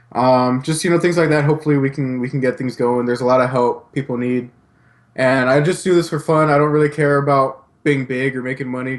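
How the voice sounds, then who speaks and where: A man with an American accent talks at a fairly quick pace in a plain, everyday voice. His pitch sits in the medium range and his intonation is fairly even. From California. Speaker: YouTuber and podcast co-host. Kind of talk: casual chat.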